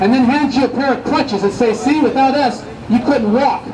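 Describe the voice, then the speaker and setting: Against noticeable background noise, a man with an extremely high voice speaks at a fairly quick pace with fairly even intonation. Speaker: street preacher. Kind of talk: street preaching to passersby. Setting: outdoors, Hollywood street. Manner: emphatic, persuasive.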